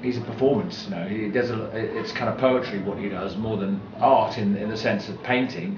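Speech flows at a moderate pace with hardly any pauses. Noticeable background noise is present. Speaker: acquaintance of the artist. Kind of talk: documentary interview. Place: studio.

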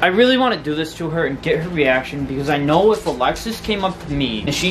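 Music plays behind a man speaking at a very fast pace. His intonation is lively. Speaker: vlogger. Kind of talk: casual vlog chat. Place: home room. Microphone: phone near.

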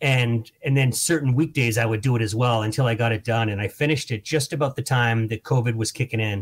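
This man talks at a very fast pace and sounds somewhat breathy. His intonation stays fairly even. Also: medium pitch for a man, hardly any pauses. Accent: American. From Boston area. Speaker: comedian and author. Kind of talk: casual interview. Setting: video call.

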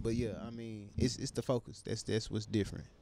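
A man speaks at a moderate pace, his pitch fairly low and his tone dark and mellow. Light background noise is present, and the sound is dry with no echo. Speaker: livestream talk show co-host. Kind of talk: casual podcast discussion. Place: studio. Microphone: studio mic.

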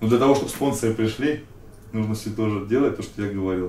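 A man talks with fairly even intonation. Audible room echo surrounds his voice. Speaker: interviewee. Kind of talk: interview answer. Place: studio. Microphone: camera far.

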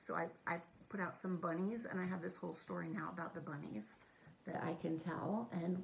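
Speaking at a fairly quick pace, a woman with a fairly low pitch and vocal fry makes very wide pitch swings over light background noise. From Kenya. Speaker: art teacher. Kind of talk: tutorial. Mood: warm, friendly. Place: kitchen. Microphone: phone near.

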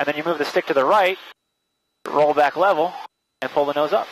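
The speech comes at a very fast pace, with light background noise and a dry sound with no echo. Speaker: flight instructor. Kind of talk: instruction. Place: plane. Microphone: headset.

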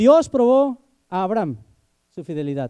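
Pitch swings very widely as a man speaks in a dark, mellow tone. The background is quiet. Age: 20s. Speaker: preacher. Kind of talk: sermon. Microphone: handheld.

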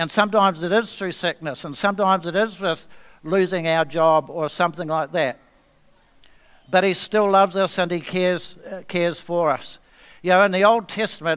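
At a moderate pace, a man speaks with a high pitch and fairly even intonation. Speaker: guest preacher. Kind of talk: sermon. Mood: calm, earnest. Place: church.

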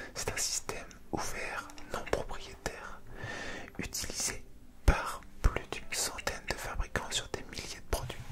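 The speaker whispers at a fairly slow pace. Long, frequent pauses break up the speech. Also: man. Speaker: video creator. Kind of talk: soft-spoken reading of facts, ASMR-like. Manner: soft close-mic ASMR reading voice. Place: home room. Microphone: handheld.

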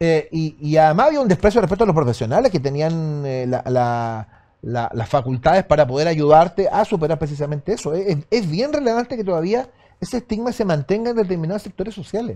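A man's fairly high pitch in a dark, mellow tone, with very wide pitch swings and a Chilean accent, over a quiet background. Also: fairly quick pace. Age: 50s. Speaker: radio host. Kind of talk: interview. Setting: studio. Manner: halting. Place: studio.

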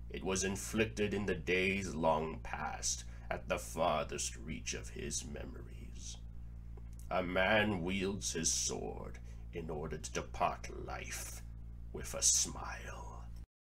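A man puts on a character voice with a solemn tone, speaking at a fairly slow pace over clear background noise. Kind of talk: dramatic philosophical monologue. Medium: dub. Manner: slow, solemn.

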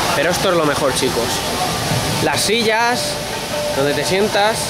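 Fairly slow speech over clear music in the background. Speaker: travel vlogger. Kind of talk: casual travel vlog commentary. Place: street. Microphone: phone near.

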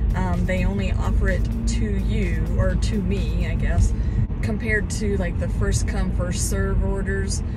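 A woman talks at a fairly slow pace. Music is playing behind her. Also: dry sound with no echo. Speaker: delivery driver vlogger. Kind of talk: casual vlog chat. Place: car. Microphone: phone near.

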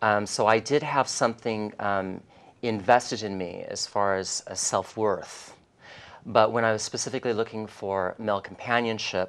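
A man with an ordinary speaking voice talks at a moderate pace, his fairly low pitch carrying fairly even intonation. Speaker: interview guest, life coach. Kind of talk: interview answer. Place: studio. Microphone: lapel.

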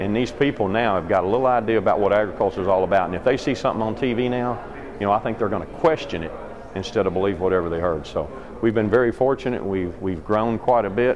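Over noticeable background noise, a man with a Kentucky accent talks at a very fast pace in a fairly low pitch with ordinary pitch variation. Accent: Southern US (Kentucky). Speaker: dairy farmer and ice cream business owner. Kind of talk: interview storytelling. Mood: friendly, proud. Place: hall. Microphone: phone near.

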